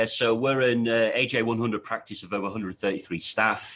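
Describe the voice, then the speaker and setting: With a Yorkshire accent, a man talks at a very fast pace. His pitch is medium, and the background is quiet. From Yorkshire, northern England. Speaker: architect, office head. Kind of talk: interview answers. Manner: hesitant, many fillers.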